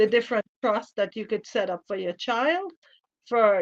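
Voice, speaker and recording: A woman with a Trinidadian accent. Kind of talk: radio interview.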